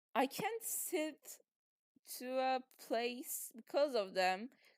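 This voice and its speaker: The woman has a high-pitched voice. It rises and falls in very wide swings. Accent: non-native. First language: not English. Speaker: podcaster. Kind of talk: casual monologue. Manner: halting.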